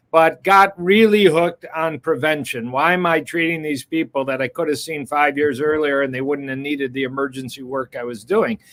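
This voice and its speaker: With hardly any pauses, a man with a plain, everyday voice talks at a moderate pace and a fairly high pitch, his pitch varying in an ordinary way, in a dry, close sound with no echo. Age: 60s. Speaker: cardiologist. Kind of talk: interview.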